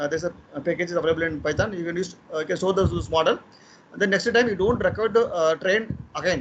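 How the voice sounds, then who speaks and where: Pitched high, a man's voice moves through ordinary pitch variation. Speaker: machine learning lecturer. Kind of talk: technical lecture. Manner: fast; hesitant, many fillers.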